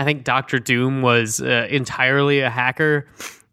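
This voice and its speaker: A man with an American accent speaks in a bright, sharp tone with fairly even intonation, on a very clean recording with a silent background and a dry, close sound with no echo. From California and Colorado. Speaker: film critic podcast host. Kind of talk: casual chat, movie review.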